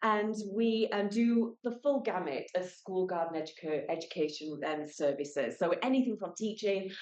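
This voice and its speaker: A woman's medium-pitched voice in a British accent, lively in intonation, with hardly any pauses. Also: moderate pace. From United Kingdom. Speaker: school garden educator. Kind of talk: presentation. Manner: loud; animated.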